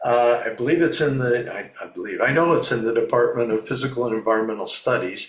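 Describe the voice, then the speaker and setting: A man with a Canadian accent at a fairly quick pace, amid noticeable background noise. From Ontario, Canada. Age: 60s. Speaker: fluvial geomorphologist. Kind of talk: interview. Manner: repeats words, hesitant.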